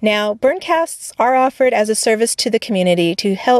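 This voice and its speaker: Quick-paced and lively in intonation, a woman with an unremarkable speaking voice is recorded in a dry, close sound with no echo. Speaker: podcast host. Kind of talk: scripted narration. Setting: studio.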